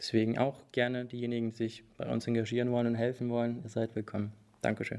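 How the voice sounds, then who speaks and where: At a medium pitch, a man speaks with monotone, flat intonation. His pace is very fast. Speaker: Ukrainian student activist. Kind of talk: interview.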